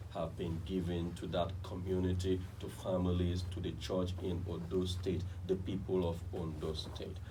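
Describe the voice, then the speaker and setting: A man's very deep, low voice comes across dark, mellow and somewhat breathy. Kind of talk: radio talk show hosting.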